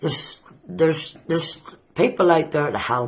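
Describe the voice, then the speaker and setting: A man with a Northern Irish accent speaks at a moderate pace and fairly high pitch, his tone bright and sharp, with ordinary pitch variation. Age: 60s. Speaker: person living with depression. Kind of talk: interview testimony.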